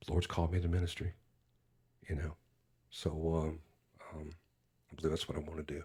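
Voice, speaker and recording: This voice carries an American accent. It sounds somewhat breathy. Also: man. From US (California and Alabama). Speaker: youth minister and singer. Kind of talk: personal testimony in podcast interview. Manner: halting with many fillers.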